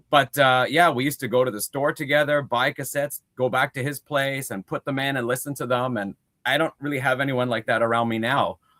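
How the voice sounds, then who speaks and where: A normal speaking voice, this man's is medium in pitch and fairly even in intonation, moving at a fairly quick pace with hardly any pauses in a dry, close sound with no echo. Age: 50s. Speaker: music collector, guest. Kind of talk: casual chat.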